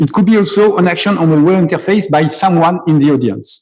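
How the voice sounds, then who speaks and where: A man speaks very fast in a French accent. His tone is dark and mellow. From France, near Nice. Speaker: computer scientist and musician. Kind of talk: conference talk. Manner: halting, many repetitions.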